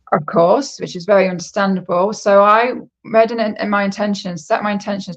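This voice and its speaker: A woman with a British accent at a moderate pace, her intonation fairly even, against a quiet background. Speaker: psychic. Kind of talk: casual chat.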